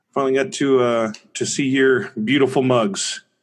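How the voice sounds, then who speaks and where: In a quiet background, a man with a normal speaking voice talks at medium pitch and a moderate pace. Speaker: co-host. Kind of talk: casual chat.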